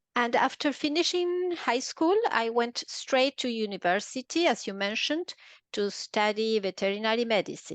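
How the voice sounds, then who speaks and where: Against a quiet background, a woman with an Argentine accent talks at a moderate pace, fairly high in pitch with lively intonation, in a dry, close sound with no echo. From Argentina, Buenos Aires. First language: Spanish. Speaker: veterinarian turned translator and interpreter. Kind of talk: podcast interview.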